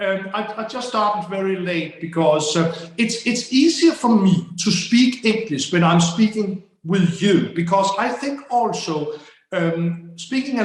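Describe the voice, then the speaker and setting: In a Danish accent, a man talks at a high pitch and a fairly slow pace. His pitch varies in an ordinary way, and the room echo is audible. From Denmark. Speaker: plantsman, gardening video maker. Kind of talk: casual chat. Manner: halting, many repeated words.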